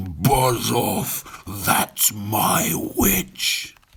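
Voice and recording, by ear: A man puts on a character voice that is shrill, croaky, and growling. His pitch is medium.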